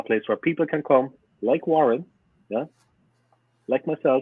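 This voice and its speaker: With a strong Cork accent, a man speaks at a moderate pace. His pitch varies in an ordinary way. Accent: strong Irish (Cork). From Ireland, Cork city south side. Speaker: football fan YouTuber. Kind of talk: podcast interview. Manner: animated.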